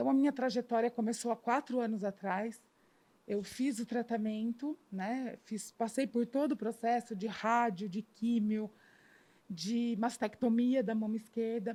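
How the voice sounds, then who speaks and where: At a fairly slow pace, a woman speaks in a dark, mellow tone. Her pitch is fairly high and her intonation fairly even. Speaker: cancer patient. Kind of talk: testimony.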